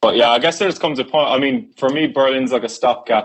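A man with an Irish accent speaks at a fairly quick pace. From Ireland. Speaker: musician. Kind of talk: casual chat.

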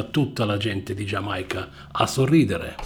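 Very slowly and in a relaxed tone, a man speaks with very wide pitch swings. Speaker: radio DJ. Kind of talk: radio DJ patter, announcing tracks and gig news between songs. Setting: radio studio. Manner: conversational, fluent and relaxed; informative, steady announcer delivery.

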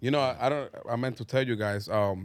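On a very clean recording with a silent background, a man with a Spanish accent speaks with fairly even intonation. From Dominican Republic. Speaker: clothing brand owner. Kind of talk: casual chat. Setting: studio.

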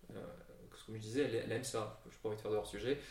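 A man speaks at a very fast pace in a somewhat breathy voice. His pitch varies in an ordinary way, and the room echo is audible. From Brussels, Belgium. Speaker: company co-founder. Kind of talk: interview. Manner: calm, reassuring; hesitant, many fillers.

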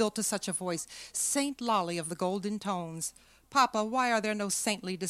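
The delivery is a natural reading voice. Pitch varies in an ordinary way.

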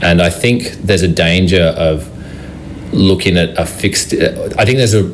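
A man with an Australian accent and a very deep, low pitch keeps his loudness very even despite noticeable background noise. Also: ordinary pitch variation, moderate pace. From Brisbane, Australia. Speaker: city councillor. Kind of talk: radio interview.

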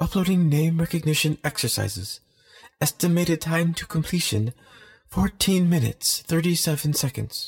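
A man puts on a high-pitched, robotic character voice at a moderate pace with ordinary pitch variation. The sound is dry and close, with no echo. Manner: cheerful.

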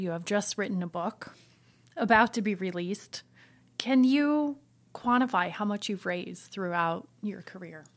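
Here a woman with an American accent uses an ordinary speaking voice at a medium pitch and ordinary pitch variation. She talks at a fairly slow pace in a very clean recording with a silent background. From US Midwest, Iowa. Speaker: music institute director. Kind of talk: interview.

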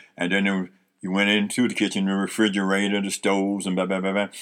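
A man's fairly low, bright, sharp voice with an American accent, on a very clean recording with a silent background. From US Northeast (Harlem, New York). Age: 70s. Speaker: retired veteran, host's father. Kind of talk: casual interview, life stories. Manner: halting, with fillers and repetitions.

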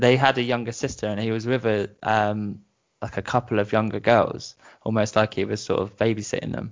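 A man with a British accent. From southern England (Brighton). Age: 30s. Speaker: musician. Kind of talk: casual interview, telling personal story. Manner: halting, many fillers.

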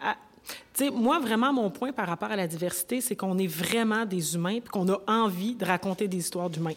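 Noticeable background noise sits behind a woman talking at a moderate pace, medium in pitch with ordinary pitch variation. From Quebec, Rouyn-Noranda (Abitibi). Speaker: actress and writer. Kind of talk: panel discussion. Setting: stage with audience.

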